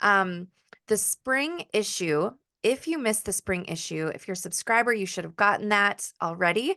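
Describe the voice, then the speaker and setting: A woman talks at a moderate pace with a bright, sharp tone, medium pitch and lively intonation. The recording is dry and close with no echo, over a quiet background. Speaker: podcast host. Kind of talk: casual chat.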